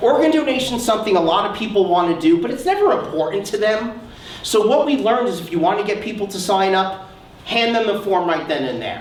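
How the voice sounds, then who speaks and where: Loud and animated, a man speaks at a very fast pace with high pitch and lively intonation. Noticeable background noise and audible room echo fill the recording. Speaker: research psychologist, keynote speaker. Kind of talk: conference keynote talk.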